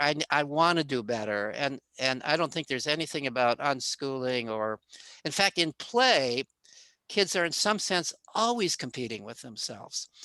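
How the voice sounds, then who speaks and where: A man speaks at a moderate pace with lively intonation, a fairly high pitch and a bright, sharp tone, in a dry, close recording with no echo that is very clean over a silent background. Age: 70s. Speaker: psychology professor. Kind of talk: interview.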